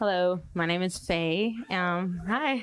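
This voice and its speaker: A plain, everyday voice from a woman, fairly low in pitch, with ordinary pitch variation on a very clean recording with a silent background. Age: 30s. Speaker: dance company founder and choreographer. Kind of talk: panel discussion.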